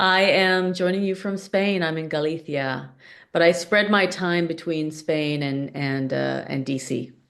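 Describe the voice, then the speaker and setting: A woman's fairly low-pitched, ordinary speaking voice with an American accent, ordinary pitch variation and a fairly slow pace against a quiet background. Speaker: product coach. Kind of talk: podcast interview.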